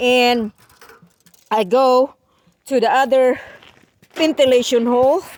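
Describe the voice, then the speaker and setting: A woman's high-pitched voice at a very slow pace, with ordinary pitch variation and long, frequent pauses. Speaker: DIY roofing vlogger. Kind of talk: tutorial. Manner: halting, many fillers.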